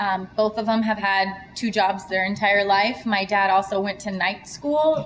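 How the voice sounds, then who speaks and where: Through noticeable background noise, a woman of medium pitch talks at a moderate pace with fairly even intonation. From US, moved from Serbia at age four. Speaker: entrepreneur. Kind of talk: interview.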